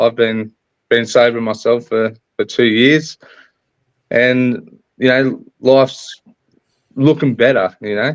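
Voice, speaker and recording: Speaking at a very slow pace with long, frequent pauses, a man with an Australian accent holds a medium pitch and fairly even intonation. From Australia, rural New South Wales. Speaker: guest in recovery. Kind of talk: interview. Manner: halting.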